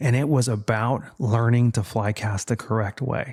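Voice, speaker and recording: A somewhat breathy voice with fairly even intonation comes through on a very clean recording with a silent background. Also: man. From deep south Texas and Mexico. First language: Spanish. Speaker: fly fisherman, former border patrol officer. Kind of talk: casual interview chat.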